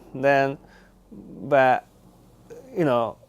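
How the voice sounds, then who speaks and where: A man speaks at a very slow pace with a Japanese accent. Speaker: Buddhist priest. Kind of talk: interview. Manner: halting, many fillers.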